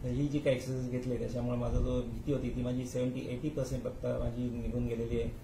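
Noticeable background noise sits behind a man's voice. His intonation is monotone and flat. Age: 60s. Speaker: patient. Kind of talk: testimony. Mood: calm, grateful. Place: office. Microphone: phone near.

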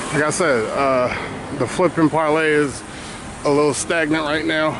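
A man is speaking, with noticeable background noise. The sound is dry, with no echo. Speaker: podcaster giving walking tour. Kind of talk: casual vlog chat. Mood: reflective, faith-focused. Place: street. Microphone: phone near.

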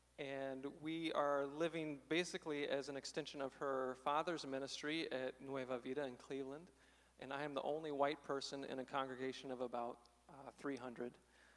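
Talking at a moderate pace with a Midwestern American accent, a man speaks at a fairly high pitch in a monotone, flat delivery. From southern Illinois, small town. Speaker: speaker. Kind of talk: testimony. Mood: reflective, candid. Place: church. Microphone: handheld.

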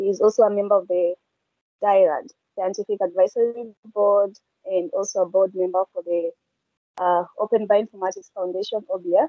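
A woman speaks at a moderate pace with fairly even intonation. The sound is dry with no echo, over a quiet background. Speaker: session moderator. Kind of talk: online session moderation. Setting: video call. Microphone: video call.

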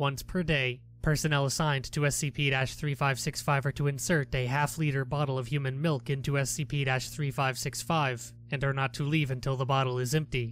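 Talking at medium pitch, a man keeps a monotone, flat intonation. His pace is fairly quick, with hardly any pauses. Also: very even loudness. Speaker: SCP narrator. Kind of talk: SCP article reading.

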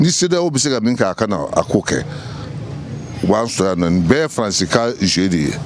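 At a fairly quick pace, a man with fairly low pitch speaks with lively intonation over clear background noise.

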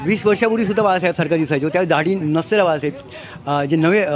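Dry with no echo under light background noise, a man's high voice moves with ordinary pitch variation. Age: 50s. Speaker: party supporter at a rally. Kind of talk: street interview. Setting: outdoors at a rally ground. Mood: proud, admiring. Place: open country.

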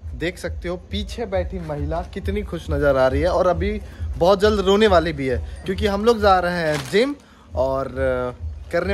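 A man's fairly slow speech comes with faint music behind it. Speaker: vlogger. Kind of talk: casual vlog chat. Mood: playful, teasing. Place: street. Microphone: phone near.

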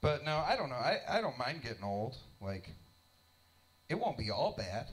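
A man speaks at a moderate pace in a somewhat breathy voice with very wide pitch swings. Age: 30s. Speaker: stand-up comedian. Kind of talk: stand-up comedy. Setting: stage with audience in a basement club. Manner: animated, irreverent. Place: stage. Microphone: handheld.

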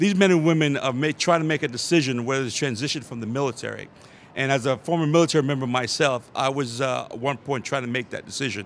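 Speaking at a fast pace, a man uses a medium pitch and ordinary pitch variation.

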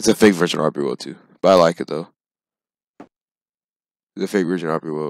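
In a dry, close sound with no echo, a man with a very deep, low pitch and vocal fry talks at a very fast pace, with ordinary pitch variation, big swings in loudness and long, frequent pauses. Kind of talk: casual video game commentary. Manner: casual, explanatory.

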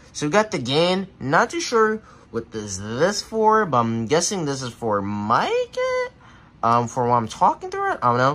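A male speaker talks at a moderate pace. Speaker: tech vlogger. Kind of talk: casual unboxing demo chat. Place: home room. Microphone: phone near.

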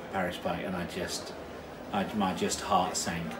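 At a fairly slow pace, a man talks over noticeable background noise. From southern England. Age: 50s. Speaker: racecourse commentator. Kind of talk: casual interview chat. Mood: animated storytelling. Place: home room. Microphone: phone near.

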